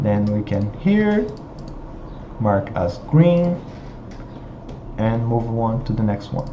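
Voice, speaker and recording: With a non-native accent, a man speaks at a very slow pace with long, frequent pauses, his medium pitch carried by lively intonation. Audible room echo and noticeable background noise surround him. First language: not English. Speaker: software tutorial presenter. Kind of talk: screen-share tutorial. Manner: halting, many fillers.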